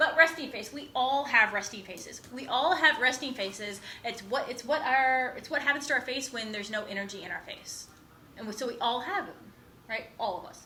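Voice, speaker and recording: Speaking at a fairly quick pace, a woman uses a high pitch with ordinary pitch variation and big swings in loudness, and audible room echo surrounds her voice. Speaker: college instructor. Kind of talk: lecture. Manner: fast.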